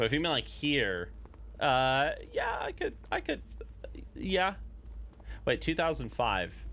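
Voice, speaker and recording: A man speaks at a fairly slow pace. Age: 30s. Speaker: YouTube streamer, gaming content creator. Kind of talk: casual live stream chat. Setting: live stream from home. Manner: casual, halting with many fillers.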